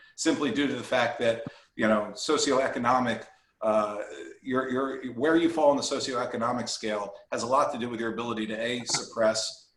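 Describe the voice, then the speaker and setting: The intonation stays fairly even. Audible echo fills the room. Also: man, medium pitch for a man. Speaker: employee benefits consultant. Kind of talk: webinar presentation. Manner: fast.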